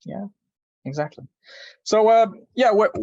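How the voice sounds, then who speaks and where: This is a man speaking with a Polish accent. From Poland. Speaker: archaeologist. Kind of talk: podcast interview, presentation with slides.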